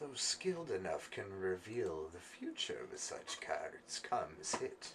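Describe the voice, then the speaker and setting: A man does a put-on character voice, cackling as he speaks at a fairly slow pace. Background noise comes through clearly. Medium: actual play. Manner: cryptic, cackling.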